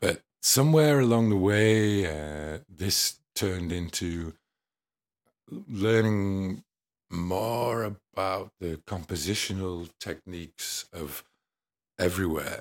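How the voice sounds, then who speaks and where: With an English accent, a man talks at a very slow pace in a very deep, low pitch with ordinary pitch variation, on a very clean recording with a silent background. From England. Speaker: musician. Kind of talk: casual interview. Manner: hesitant, many fillers.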